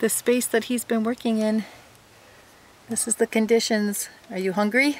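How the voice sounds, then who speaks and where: A woman speaks at a moderate pace in a monotone, flat intonation. The recording is dry with no echo. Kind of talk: casual vlog chat. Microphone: phone near.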